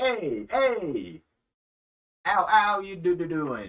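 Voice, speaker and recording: At a very slow pace and a middle pitch, this is a put-on character voice. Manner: cheery.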